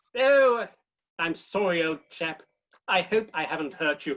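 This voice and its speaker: Putting on a character voice, a man speaks at a high pitch with lively intonation and a moderate pace. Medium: solo performance. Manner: cheerful, easygoing.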